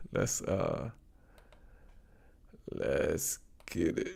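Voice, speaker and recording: A man talks at a very slow pace in a very clean recording against a silent background. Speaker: reaction video streamer. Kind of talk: live stream commentary. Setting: live stream. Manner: casual, unscripted.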